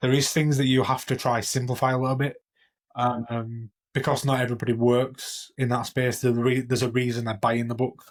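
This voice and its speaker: With a Yorkshire accent, a man talks at a fairly quick pace in a monotone, flat intonation. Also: medium pitch for a man. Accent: broad Yorkshire. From Yorkshire, northern England. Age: 30s. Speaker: IT consultant and author. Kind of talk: casual interview.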